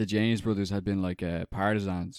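A man's very deep, low voice with an Irish accent, very fast pace and fairly even intonation, in dry, close sound with no echo on a very clean recording with a silent background. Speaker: film podcast co-host. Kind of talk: casual chat.

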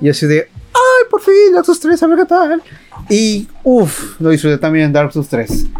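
A man with a Mexican accent speaks at an extremely high pitch with very wide pitch swings and very even loudness, at a fairly slow pace. Music plays in the background, and the sound is dry and close with no echo. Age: 20s. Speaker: podcast host. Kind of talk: solo casual monologue. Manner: halting.

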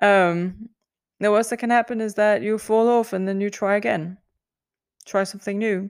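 In a very clean recording with a silent background, a woman with a non-native accent speaks at a medium pitch and a moderate pace, with fairly even intonation and long, frequent pauses. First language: not English. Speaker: podcast host, singer. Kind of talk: solo podcast monologue. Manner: hesitant, many fillers and laughs.

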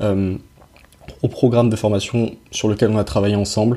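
A man's voice sits fairly low, with a dark, mellow tone. It comes across somewhat breathy. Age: 20s. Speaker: podcast host, young entrepreneur. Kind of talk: casual chat; scripted intro. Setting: in person, on location.

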